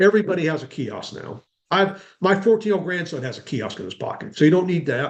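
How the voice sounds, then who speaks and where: The man speaks at a high pitch. His intonation sounds lively. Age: 60s. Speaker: self-storage consultant. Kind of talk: webinar interview. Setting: video webinar. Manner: conversational, with fillers.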